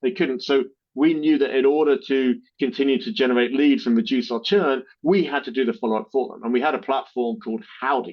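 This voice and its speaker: Here a man talks with a British accent at a fairly high pitch. His intonation is lively. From Britain. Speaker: marketing agency co-founder, army veteran. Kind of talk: podcast interview. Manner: halting, many fillers and repeats.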